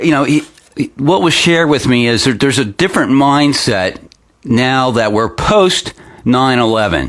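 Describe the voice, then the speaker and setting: With an American accent and lively intonation, a man talks at a medium pitch and a fairly slow pace, taking long, frequent pauses while keeping his loudness very even. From Pennsylvania, US. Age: 50s. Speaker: local internet news host. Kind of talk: opinion commentary newscast. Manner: halting, many fillers.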